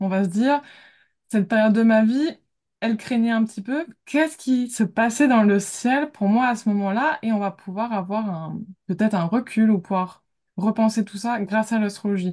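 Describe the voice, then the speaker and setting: A woman's fairly high, somewhat breathy voice with ordinary pitch variation, at a moderate pace against a quiet background. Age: 20s. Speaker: graphic designer and amateur astrologer. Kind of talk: casual interview.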